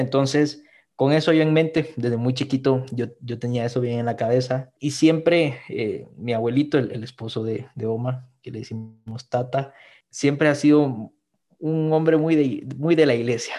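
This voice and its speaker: Over a quiet background, a man speaks at medium pitch in a dark, mellow tone with fairly even intonation. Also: moderate pace. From Guatemala. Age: 20s. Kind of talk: podcast interview, personal testimony.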